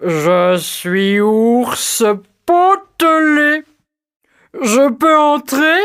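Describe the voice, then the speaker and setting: A female-sounding put-on character voice, high pitch for a woman, swings very widely in pitch at a very slow pace with long, frequent pauses. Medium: read story.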